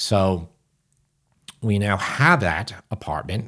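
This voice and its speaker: A man with a New York accent and a fairly low pitch. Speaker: podcast co-host. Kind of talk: casual chat.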